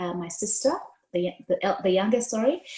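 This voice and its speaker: Speaking with an East African accent, a woman uses a medium pitch and ordinary pitch variation. Her tone is dark and mellow, and somewhat breathy. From Kenya, Mombasa. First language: Swahili. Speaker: diversity and inclusion consultant. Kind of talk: storytelling interview.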